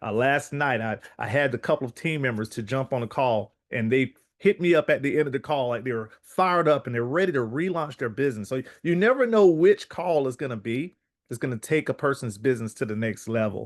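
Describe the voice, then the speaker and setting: Against a quiet background, a man with a rural Southern US accent talks at a fairly quick pace in an energetic tone, with lively intonation and hardly any pauses. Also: medium pitch for a man, dry, close sound with no echo. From US South, South Carolina. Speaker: online business call host. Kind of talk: motivational sales call. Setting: online conference call.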